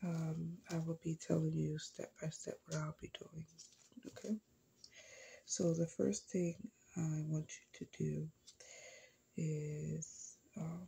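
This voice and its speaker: The speech moves at a very slow pace, broken by long, frequent pauses. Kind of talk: ASMR roleplay. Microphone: phone near.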